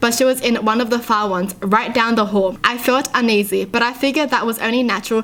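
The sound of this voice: Reading is done in an unforced reading voice.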